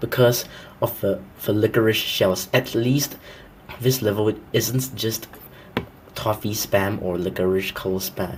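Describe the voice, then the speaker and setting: The speech moves at a fairly slow pace with long, frequent pauses and fairly even intonation, over noticeable background noise. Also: man, fairly low pitch for a man. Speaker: gaming commentator. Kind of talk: game review commentary. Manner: pitch-shifted voice.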